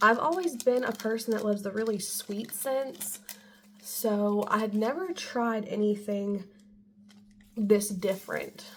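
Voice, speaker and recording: The speech has ordinary pitch variation. Noticeable background noise is audible. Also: woman, fairly high pitch for a woman. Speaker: beauty vlogger. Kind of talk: product haul video. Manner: casual, filler-heavy.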